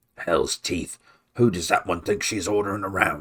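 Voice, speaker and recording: A man puts on a growling character voice, fairly low in pitch. He moves at a moderate pace. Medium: read story.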